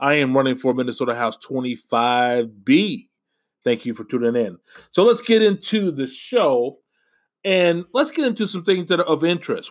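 A man speaks in an American accent with a plain, everyday voice. His pace is moderate and his intonation lively, in a very clean recording with a silent background. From US Midwest, Indianapolis, Indiana. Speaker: social worker and political candidate. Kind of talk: podcast monologue.

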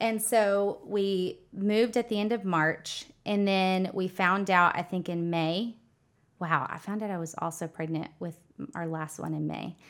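A woman with an American accent speaks at a fairly slow pace in an unremarkable speaking voice, her pitch medium and her intonation fairly even. The recording is very clean, with a silent background. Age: 30s. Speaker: financial advisor and entrepreneur. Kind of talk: casual interview.

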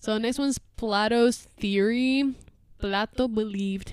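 The words come at a fairly slow pace in a Spanish accent. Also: woman. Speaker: podcast co-host. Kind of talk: casual chat.

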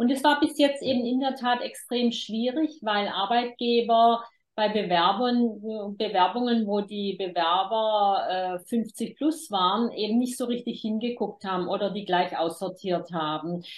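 A woman with a plain, everyday voice, fairly high in pitch, with ordinary pitch variation, at a fairly slow pace with hardly any pauses. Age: 50s. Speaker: demography expert and author. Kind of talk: interview.

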